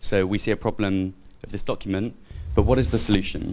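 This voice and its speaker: A man with a British accent and fairly low pitch, at a fairly quick pace with ordinary pitch variation, over music in the background. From United Kingdom. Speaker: public auditor, conference participant. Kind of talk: panel discussion. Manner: hesitant, many fillers.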